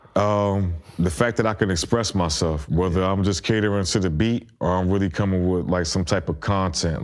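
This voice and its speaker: With an American accent, a man with a very deep, low voice talks fairly quickly at a very even loudness, with hardly any pauses and ordinary pitch variation, in a very clean recording with a silent background. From South Carolina and New Jersey/Bronx. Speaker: rapper. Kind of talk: casual interview. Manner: halting, many fillers.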